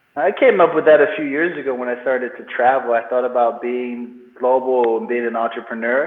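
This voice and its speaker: Speaking at medium pitch with hardly any pauses, a man talks over noticeable background noise. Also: fairly quick pace. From Nigerian-born, raised in England, then US from 13. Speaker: entrepreneur and business coach. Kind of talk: interview. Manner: animated.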